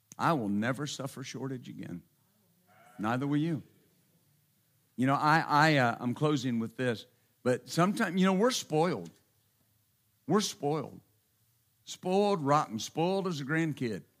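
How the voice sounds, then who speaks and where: With a Texan accent and lively intonation, a man of fairly high pitch talks with long, frequent pauses. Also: moderate pace, very clean recording, silent background. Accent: Texan (US Southern). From Texas. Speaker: pastor. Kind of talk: sermon. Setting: church.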